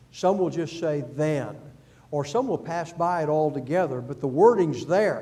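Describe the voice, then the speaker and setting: Heard with audible room echo, a man speaks at a fairly slow pace in a dark, mellow tone, his pitch fairly high with ordinary variation. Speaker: Bible class teacher. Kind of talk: Bible class lecture.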